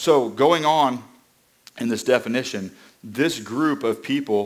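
The background is quiet as a man speaks. His pitch variation is ordinary. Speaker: preacher. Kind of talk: sermon. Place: church.

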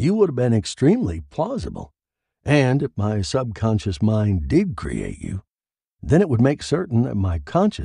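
The background stays quiet. The reading voice is unforced.

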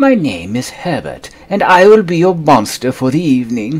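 Using a put-on character voice, a man speaks fairly high at a moderate pace. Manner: polite, formal.

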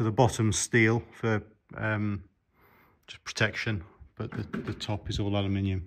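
A man's speech at a fairly slow pace. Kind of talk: casual explanatory vlog commentary. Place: workshop. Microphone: phone near.

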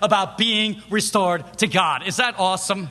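The voice is raised and projected, moving at a moderate pace. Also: man. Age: 50s. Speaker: preacher. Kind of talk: sermon. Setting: church.

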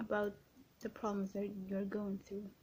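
Soft-spoken and somewhat breathy, the voice has a dark, mellow, gentle tone. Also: woman. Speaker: ASMR creator. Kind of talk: ASMR positive affirmations, personal attention. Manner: soft-spoken, gentle. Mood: gentle, reassuring. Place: home room. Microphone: webcam.

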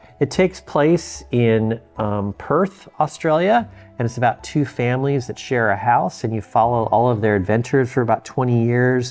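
A man at a moderate pace with hardly any pauses, ordinary pitch variation, and faint music in the background. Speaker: book collector reviewer. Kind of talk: casual vlog chat. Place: home room.

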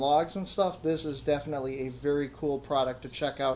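The man's speech comes at a fairly quick pace, with light background noise behind it. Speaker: DIY channel host. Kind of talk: tutorial. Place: garage. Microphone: phone near.

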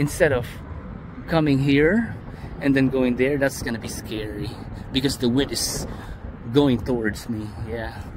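A man at a fairly slow pace, with ordinary pitch variation, long and frequent pauses, and noticeable background noise. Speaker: drone hobbyist vlogger. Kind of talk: casual vlog chat. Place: open country. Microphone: phone near.

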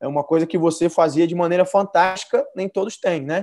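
The pace is fairly quick against a quiet background. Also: man. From Brazil, São Paulo. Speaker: football coach. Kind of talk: interview. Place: home room. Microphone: earbuds.

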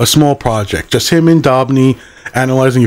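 The voice is a natural reading voice. It stays that way from start to finish.

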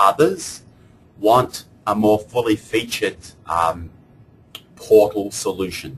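A somewhat breathy man with an Australian accent and a fairly low pitch, very slow pace, long, frequent pauses and ordinary pitch variation. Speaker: software product evangelist. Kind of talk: webinar product presentation. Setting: online webinar with screen share. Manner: formal.

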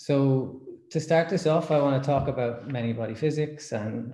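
A man's voice comes through somewhat breathy. Audible room echo surrounds it. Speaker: speaker. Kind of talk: lecture. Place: home room. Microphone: webcam.

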